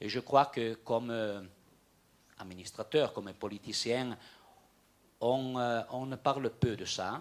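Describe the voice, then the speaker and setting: A man speaks at a very slow pace in a medium pitch, with long, frequent pauses. His intonation is fairly even, in a Franco-Provençal region accent. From Aosta Valley, Italy. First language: Franco-Provençal (speaking French). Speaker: regional politician. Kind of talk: panel discussion. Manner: halting, many repetitions.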